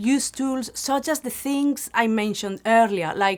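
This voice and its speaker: In a strong Spanish accent, a woman speaks at a fairly slow pace. Her fairly high pitch shows ordinary pitch variation on a very clean recording with a silent background. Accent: Spanish accent, quite prominent. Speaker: language teacher. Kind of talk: tutorial.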